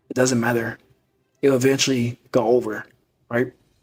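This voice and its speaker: Music plays in the background as a man talks at medium pitch. His delivery is monotone and flat at a moderate pace. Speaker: podcast host, motivational speaker. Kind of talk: motivational monologue.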